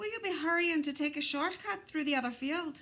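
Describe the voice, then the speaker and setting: A woman puts on a squeaky, high-pitched character voice and talks at a fairly quick pace. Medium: read story. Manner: sly, wheedling.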